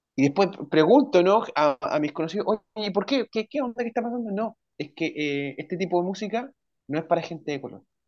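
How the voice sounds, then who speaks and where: A man's high voice swings very widely in pitch as he speaks at a fairly quick pace. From Chile. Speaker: writer and language and literature teacher. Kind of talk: casual interview.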